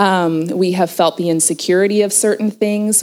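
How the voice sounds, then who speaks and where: A woman speaks at medium pitch with an American accent. Her delivery is monotone and flat at a moderate pace. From southern Oregon, US. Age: 40s. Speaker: marriage and family therapist. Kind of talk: interview at a women's retreat.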